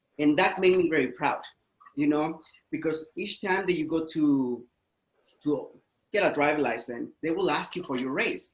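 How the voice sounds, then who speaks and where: With a Spanish accent, a man with a fairly high pitch talks with long, frequent pauses. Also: ordinary pitch variation, moderate pace. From Mexico. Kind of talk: interview.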